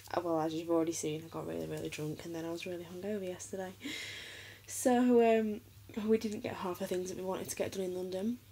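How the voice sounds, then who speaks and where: Ordinary pitch variation marks a woman's fairly quick speech. Light background noise sits underneath. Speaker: vlogger. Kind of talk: casual vlog chat. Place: home room. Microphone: phone near.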